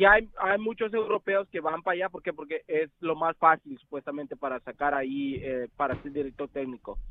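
Here is a man with an ordinary speaking voice, fairly high in pitch. He goes at a moderate pace with hardly any pauses. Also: ordinary pitch variation. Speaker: caller. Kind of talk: casual phone call opinion. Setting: phone call.

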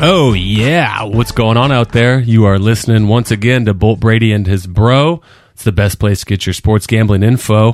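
A man's normal speaking voice at medium pitch, moderate pace, hardly any pauses and big swings in loudness. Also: ordinary pitch variation. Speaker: sports betting podcast co-host. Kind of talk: casual chat.

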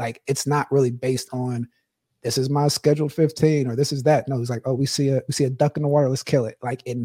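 A man speaks very fast at a medium pitch, somewhat breathy and dark and mellow in tone, the sound dry and close with no echo on a very clean recording with a silent background. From Pittsburgh. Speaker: former football player, podcast co-host. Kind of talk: casual chat.

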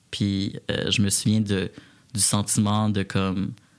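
A man is speaking. His pitch sits fairly low. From Quebec, Repentigny. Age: 20s. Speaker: community organization director. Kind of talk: interview.

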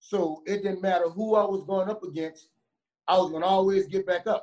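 Here a man speaks in a New Orleans accent with a high pitch. His pace is fairly quick. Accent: New Orleans twang. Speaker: former college running back and youth coach. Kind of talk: casual interview. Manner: animated.

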